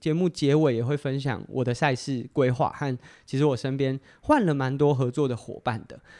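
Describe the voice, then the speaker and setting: A man at a moderate pace, fairly high in pitch with a dark, mellow tone, over a quiet background. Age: 30s. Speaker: podcast host and amateur athlete. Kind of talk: solo casual talk. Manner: hesitant with frequent fillers.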